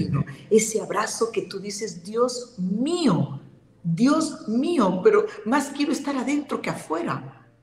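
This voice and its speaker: Speaking very slowly, a woman uses a fairly high pitch with very wide pitch swings. Audible room echo and faint music sit in the background. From Peru. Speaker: spiritual healer and medium; guest. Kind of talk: interview. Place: home room. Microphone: video call.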